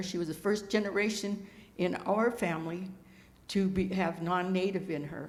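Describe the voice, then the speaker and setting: A woman with an American accent and a fairly low pitch, audible room echo around her. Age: 80s+. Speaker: Native elder. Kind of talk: land acknowledgment talk. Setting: stage with audience. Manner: halting.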